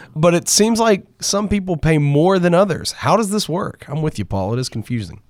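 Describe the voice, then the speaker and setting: Upbeat and animated, a man with a high pitch talks at a moderate pace with very wide pitch swings and hardly any pauses. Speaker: podcast host. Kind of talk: podcast hosting, news reading. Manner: upbeat, animated.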